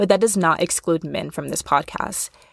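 The speaker is a woman with a fairly low pitch. Her voice sounds dry and close, with no echo. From US Midwest. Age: 20s. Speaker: podcast host. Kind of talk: casual monologue. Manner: chatty, laughing often.

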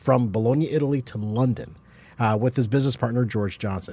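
A man's dark, mellow, somewhat breathy voice at medium pitch, in a very clean recording with a silent background. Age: 40s. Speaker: podcast co-host. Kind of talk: casual chat.

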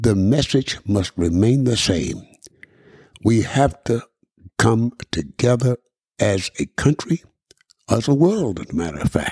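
Speaking fairly slowly with long, frequent pauses, a man has a dark, mellow tone and very wide pitch swings. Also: medium pitch for a man. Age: 80s. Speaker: radio broadcaster and podcast host. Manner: reminiscing, conversational, repeats words.

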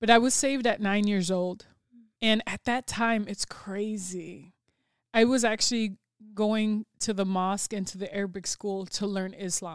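In a Chicago accent, a woman speaks at a moderate pace and medium pitch with fairly even intonation, on a very clean recording with a silent background. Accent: Chicago American. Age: 40s. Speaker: mentor and public speaker. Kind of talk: casual interview. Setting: studio.

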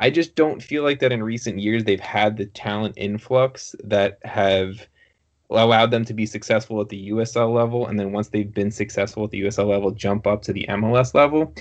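A man speaks at a fairly quick pace with fairly even intonation. He has a fairly low pitch and a normal speaking voice. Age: 20s. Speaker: podcast host. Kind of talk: casual interview chat.

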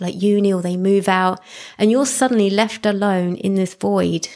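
In a very clean recording with a silent background, a woman with an ordinary speaking voice talks at a moderate pace, her medium pitch carried by fairly even intonation. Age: 40s. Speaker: podcast host and pole dance teacher. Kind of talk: solo monologue podcast. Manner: casual, conversational with fillers.

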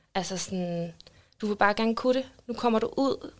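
A woman talks at a moderate pace and medium pitch in an unremarkable speaking voice. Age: 20s. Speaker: social worker. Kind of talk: casual interview. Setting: studio.

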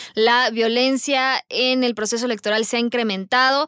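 A woman's voice in a dry, close sound with no echo, with noticeable background noise behind it. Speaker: podcast moderator. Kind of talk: panel discussion.

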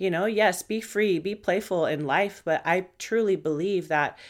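This woman's voice sits at a fairly low pitch with ordinary pitch variation. The recording is very clean, with a silent background. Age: 30s. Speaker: podcast host, mindset and fitness coach. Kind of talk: casual monologue. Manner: fast; animated.

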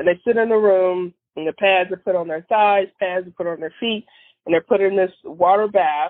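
Delivered at a moderate pace with fairly even intonation, this is a plain, everyday voice. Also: woman, medium pitch for a woman. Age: 40s. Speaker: podiatrist. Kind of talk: casual chat.

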